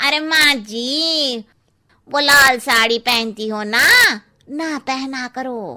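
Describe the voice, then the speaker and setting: In a cartoonish character voice, a woman speaks very slowly at a high pitch with ordinary pitch variation. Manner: frank, cheeky.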